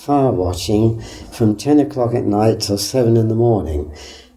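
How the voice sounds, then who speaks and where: Ordinary pitch variation at a moderate pace, with audible room echo and noticeable background noise. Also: man. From southern England, Winchester, Hampshire. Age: 90s. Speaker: local historian, retired legal executive. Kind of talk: oral history interview. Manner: hesitant, with fillers.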